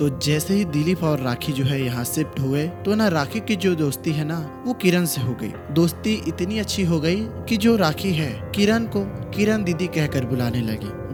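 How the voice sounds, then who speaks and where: A man with a fairly high voice swings very widely in pitch while music plays in the background. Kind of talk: horror story narration. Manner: casual, conversational storytelling.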